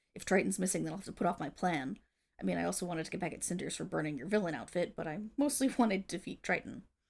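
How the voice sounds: A woman speaks fast in a put-on character voice, fairly low-pitched with lively intonation. Her tone is slightly mellow, with a slightly husky edge and vocal fry.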